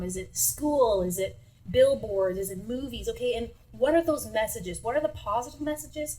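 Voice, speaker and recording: Audible room echo follows this woman as she talks at a moderate pace. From Sudbury, Ontario, Canada. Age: 30s. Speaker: singer-songwriter. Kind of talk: interview.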